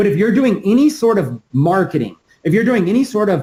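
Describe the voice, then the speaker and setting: A man talks at a fairly quick pace with lively intonation. His voice is high, with a dark, mellow tone. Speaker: online marketing trainer. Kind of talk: webinar training. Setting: live webinar with screen share. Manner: fast.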